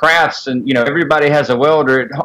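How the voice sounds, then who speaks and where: Speaking with a Southern US accent, the man has a fairly high pitch. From Mississippi, US South. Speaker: sculptor. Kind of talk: casual interview chat. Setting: Skype call.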